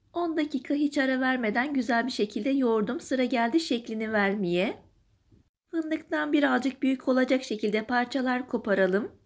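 A woman's high-pitched voice at a moderate pace, with ordinary pitch variation, on a very clean recording with a silent background. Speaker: home cook. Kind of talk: recipe voiceover.

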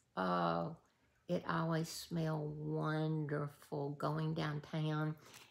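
A woman with a Southern US accent talks at a very slow pace, her very deep, low pitch varying in an ordinary way. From US South. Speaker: YouTube creator running a giveaway. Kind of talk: casual vlog giveaway announcement. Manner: warm, emotional. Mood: warm, nostalgic. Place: home room. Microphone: phone near.

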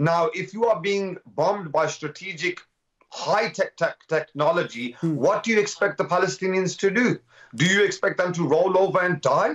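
This man's voice sits high, with ordinary pitch variation and a moderate pace. The background is quiet. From Birmingham, British Kashmiri. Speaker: community activist; guest. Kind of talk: live TV interview. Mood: impassioned, indignant. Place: home room. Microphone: video call.

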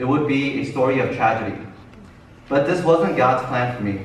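Light background noise and audible room echo accompany a man talking at a moderate pace. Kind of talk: testimony speech. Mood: earnest, nervous laughs. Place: church. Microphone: camera far.

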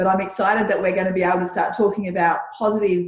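Someone with an Australian accent speaks with audible room echo over a quiet background. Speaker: podcast host; interview host. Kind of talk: interview. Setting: video call. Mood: warm, supportive. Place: home room. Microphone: video call.

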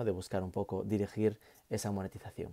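The voice has a dark, mellow tone and moves at a fairly quick pace. The background is quiet. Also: man. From Spain, Galicia. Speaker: university lecturer. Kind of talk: lecture. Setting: home office. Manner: casual. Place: home room. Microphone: earbuds.

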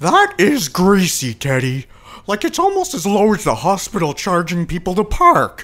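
This man has a high-pitched voice with very wide pitch swings. He talks at a moderate pace. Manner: bossy, aggressive.

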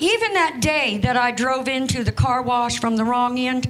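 With an American accent, a woman speaks in a high voice at a moderate pace and with ordinary pitch variation. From Europe then US. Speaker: stand-up comedian. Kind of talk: stand-up comedy set, self-deprecating jokes about being an old grandmother. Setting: stage with audience. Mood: dry, wry humor. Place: stage. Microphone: handheld.

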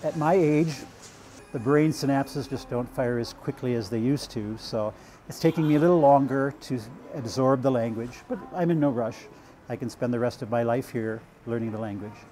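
Over light background noise, a man with an American accent talks at a fairly quick pace, ordinary pitch variation and long, frequent pauses. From United States. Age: 50s. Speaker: language student and English tutor. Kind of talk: documentary interview. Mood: calm, content. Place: home room. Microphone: lapel.

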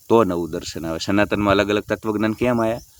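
The speaker is a man with a fairly low pitch. The sound is dry and close, with no echo. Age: 40s. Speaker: spiritual YouTuber. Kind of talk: monologue to camera. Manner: animated.

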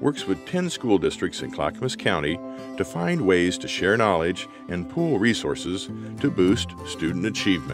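A man speaks at a moderate pace in a fairly low voice, his pitch swinging very widely. Music plays in the background. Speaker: voice actor. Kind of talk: corporate narration.

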